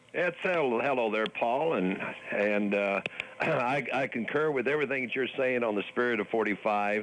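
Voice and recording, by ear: A man speaks at a moderate pace and a medium pitch, with a fairly bright tone. Faint noise sits in the background. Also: ordinary pitch variation.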